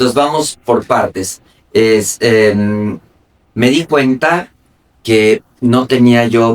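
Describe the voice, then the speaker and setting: Medium-pitched male speech, varying in pitch in an ordinary way. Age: 60s. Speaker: logistics executive and investor. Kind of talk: interview.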